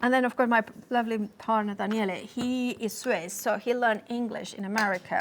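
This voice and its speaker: Over noticeable background noise, a woman with a Spanish accent speaks at a fairly high pitch and a fairly quick pace, with hardly any pauses and fairly even intonation. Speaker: craft product demonstrator. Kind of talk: live shopping demonstration. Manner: halting.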